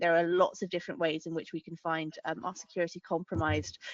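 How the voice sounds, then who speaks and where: A woman talks at a very fast pace. She has a British accent. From UK. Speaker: lawyer, regulatory and tech law lead. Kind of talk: webinar panel discussion. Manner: hesitant, many fillers.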